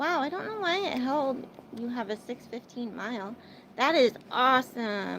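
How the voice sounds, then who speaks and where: A woman speaks at a high pitch with an American accent. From Arizona, US. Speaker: livestreamer. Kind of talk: casual livestream chat with viewers. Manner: chatty, filler-heavy.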